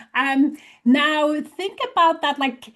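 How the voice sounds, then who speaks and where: With a Polish accent, a woman is speaking. She talks at a fairly slow pace. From Poland. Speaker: leadership coach. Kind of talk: webinar presentation.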